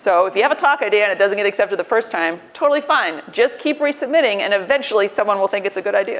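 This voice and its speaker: Over noticeable background noise, a woman with an American accent talks at a very fast pace with lively intonation. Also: medium pitch for a woman. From US, New York. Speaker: tech company recruiter and conference speaker. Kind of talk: conference talk. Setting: conference stage with audience.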